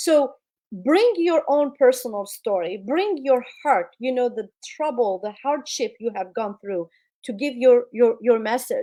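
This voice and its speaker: A woman with a non-native accent speaks high in pitch, with a dark, mellow tone and lively intonation, on a very clean recording with a silent background. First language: not English. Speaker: public speaking coach. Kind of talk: interview advice.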